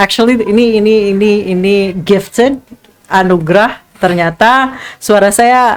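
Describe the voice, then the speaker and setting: Very slowly, a woman speaks in a medium pitch with ordinary pitch variation. Her loudness stays very even. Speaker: TV news anchor and journalist. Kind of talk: casual interview.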